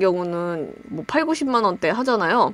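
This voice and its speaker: The pace of this woman's speech is fairly slow. Very wide swings mark her pitch. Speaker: YouTuber, gaming channel. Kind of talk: tutorial. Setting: home recording with webcam. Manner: casual, conversational.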